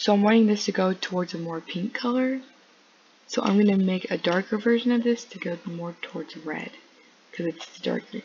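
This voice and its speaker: A woman of medium pitch talks at a fairly quick pace with ordinary pitch variation. Noticeable background noise is present. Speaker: gaming tutorial youtuber. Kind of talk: tutorial. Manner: casual, hesitant with fillers.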